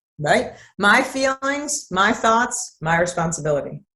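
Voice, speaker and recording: At a medium pitch, a woman sounds animated, with lively intonation and a bright, sharp tone. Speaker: therapist. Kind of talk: interview. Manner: calm, compassionate.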